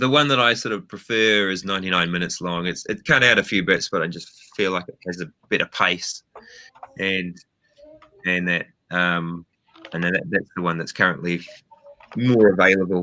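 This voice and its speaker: A man with a New Zealand accent speaks in a very deep, low voice with a bright, sharp tone and ordinary pitch variation. His pace is moderate, broken by long, frequent pauses. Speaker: film director. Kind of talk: interview. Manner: hesitant, many fillers.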